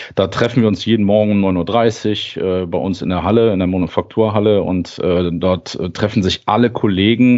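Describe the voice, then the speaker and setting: At a moderate pace, a man speaks with fairly even intonation in a very deep, low pitch. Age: 40s. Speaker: lean and continuous improvement lead at a timber house maker. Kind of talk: interview conversation. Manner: hesitant, many filler sounds.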